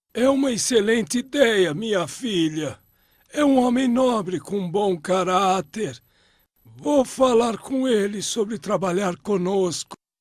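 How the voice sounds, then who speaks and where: A man puts on a cartoonish character voice at a high pitch. He speaks at a fairly slow pace with lively intonation. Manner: gentle, dignified.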